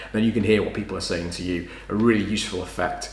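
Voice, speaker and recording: A man's fairly low voice at a very fast pace, fairly even intonation, with noticeable background noise and audible room echo. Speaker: tech video creator. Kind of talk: unboxing tutorial. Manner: loud.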